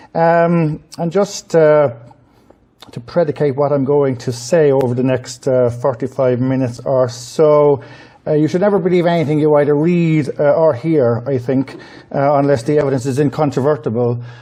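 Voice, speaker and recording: This man talks at a moderate pace with fairly even intonation. There is noticeable background noise. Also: fairly high pitch for a man. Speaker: politics professor and biographer. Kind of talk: public lecture. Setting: lecture hall with audience. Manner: hesitant, many filler uhs.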